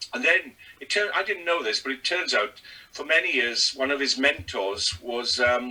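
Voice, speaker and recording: At a moderate pace and with very wide pitch swings, the speaker talks in a Welsh accent over noticeable background noise. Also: man, fairly high pitch for a man. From Wales. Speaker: stand-up comedian. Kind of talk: casual interview chat.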